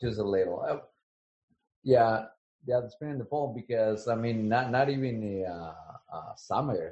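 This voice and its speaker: This man talks at a moderate pace in a medium pitch. His voice is somewhat breathy, with ordinary pitch variation. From Latin America. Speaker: teacher. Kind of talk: interview.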